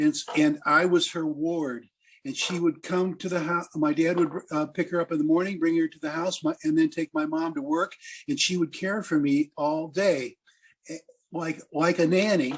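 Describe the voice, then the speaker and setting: A man with an American accent talks at a moderate pace. His pitch is high and his intonation fairly even. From US Midwest, Quad Cities, Iowa. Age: 70s. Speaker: blues musician. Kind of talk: interview storytelling.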